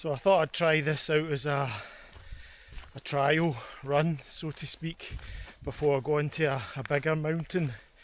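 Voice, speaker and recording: Speaking with a Scottish accent, a man uses a fairly high pitch and fairly even intonation at a moderate pace, with long, frequent pauses. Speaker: hiking and camping vlogger. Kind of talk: vlog narration while hiking. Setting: outdoors, hiking uphill. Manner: casual, chatty.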